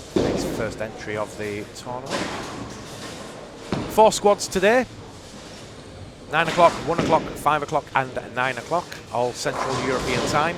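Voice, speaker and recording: A man with a northern English accent speaks at a moderate pace in a fairly high pitch, with lively intonation and long, frequent pauses. Noticeable background noise and audible room echo fill the recording. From northern England. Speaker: bowling stream commentator. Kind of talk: live commentary. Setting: live stream from bowling centre. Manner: casual, chatty.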